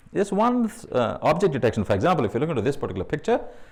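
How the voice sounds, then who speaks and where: A man's voice with very wide pitch swings. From India. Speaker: AI consultant speaker. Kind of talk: meetup talk. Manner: fast; hesitant, many fillers.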